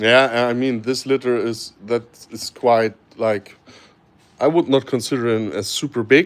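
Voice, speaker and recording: Fairly slow, fairly even speech in a German accent. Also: man, medium pitch for a man. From Germany. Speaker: snake breeder. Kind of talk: live stream Q&A. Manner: hesitant, many fillers.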